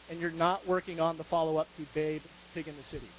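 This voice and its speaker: A loud, high-pitched man's voice with an American accent. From US, rural Montana. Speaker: UX designer, conference speaker. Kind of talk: conference talk. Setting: stage with audience.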